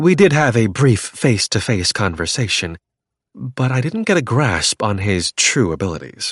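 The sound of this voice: The speaker uses an unforced reading voice. Behind it is a quiet background.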